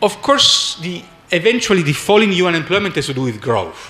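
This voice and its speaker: A man with an Italian accent and lively intonation, against noticeable background noise. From Italy. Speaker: economics professor. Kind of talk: conference talk. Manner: halting.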